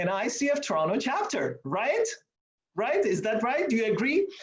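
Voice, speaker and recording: A man with an Iranian accent speaks at a high pitch. His pitch swings very widely. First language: Farsi. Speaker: meeting host, coach. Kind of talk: presentation to online meeting. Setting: video call from office. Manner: animated.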